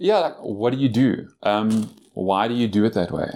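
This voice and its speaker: This man has a plain, everyday voice with a fairly low pitch and fairly even intonation. The recording is very clean, with a silent background. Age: 40s. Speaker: certified financial planner. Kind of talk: interview. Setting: in person at a convention conference room.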